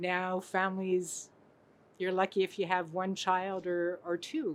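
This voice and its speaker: A woman's medium-pitched voice, fairly slow and monotone with flat intonation, on a very clean recording with a silent background. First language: French. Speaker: translator. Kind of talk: interview. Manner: halting.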